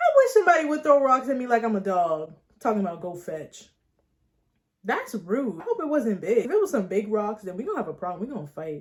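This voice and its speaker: A very fast, animated delivery with very wide pitch swings and big swings in loudness. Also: woman, fairly high pitch for a woman. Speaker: YouTuber. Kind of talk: storytime vlog, reading viewer stories with commentary. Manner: animated, casual.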